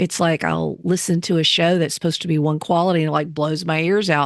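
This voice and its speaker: A woman talks with a Southern US accent in a fairly low pitch. Her intonation stays fairly even against a quiet background. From US South. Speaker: teacher and podcast host. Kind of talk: interview.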